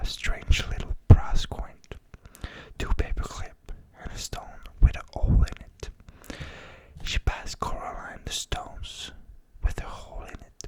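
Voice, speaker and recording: A man whispers at a fairly slow pace, with long, frequent pauses and big swings in loudness. Noticeable background noise is present. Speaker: ASMR creator. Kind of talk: bedtime story reading, ASMR. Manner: soft-spoken, whispered, slow.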